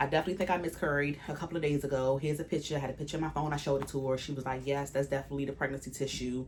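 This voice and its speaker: Over noticeable background noise, a woman rattles along at a very fast pace with hardly any pauses, her very deep, low pitch held in a flat monotone. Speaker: vlogger. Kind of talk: casual vlog monologue.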